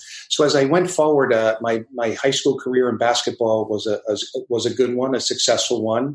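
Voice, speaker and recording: A man with an American accent speaks in an ordinary speaking voice. His pitch is medium and his pace moderate. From US, New Jersey. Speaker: basketball coach. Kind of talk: interview conversation.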